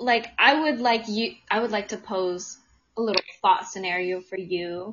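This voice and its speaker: A woman at a fairly slow pace. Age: 20s. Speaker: podcast host. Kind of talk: casual chat. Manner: animated.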